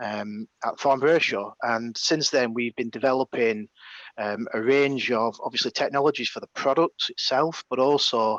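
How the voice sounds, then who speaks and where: A man with a northern English accent talks at medium pitch and a moderate pace with fairly even intonation. The sound is dry and close with no echo, over a quiet background. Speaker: engineering manager at a defence company presenting a challenge. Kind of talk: webinar presentation. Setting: video call webinar, on site without camera. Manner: hesitant, many fillers.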